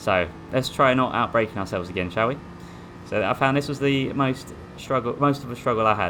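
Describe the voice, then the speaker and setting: A man speaks with an Essex accent. His pitch varies in an ordinary way. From Essex, England. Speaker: sim racing gamer. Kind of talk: gameplay commentary. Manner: casual, hesitant.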